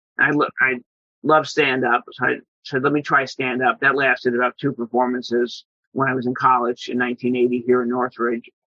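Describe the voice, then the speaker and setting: Speaking at a fairly quick pace with an American accent, a man has medium pitch and a plain, everyday voice. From New York, Long Island. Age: 60s. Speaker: entertainment publicist and comedy collector. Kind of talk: interview.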